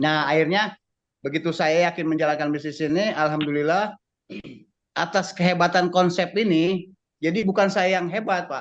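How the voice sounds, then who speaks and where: A man speaks at a moderate pace in a high voice. His intonation stays fairly even, and the background is quiet. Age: 60s. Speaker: business network member giving testimony. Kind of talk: testimony.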